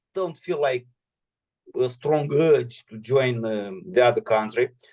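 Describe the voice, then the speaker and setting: A man speaks with a Romanian accent at a fairly slow pace. His pitch swings very widely. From Moldova. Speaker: political commentator. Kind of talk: video call Q&A with students. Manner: halting, many fillers.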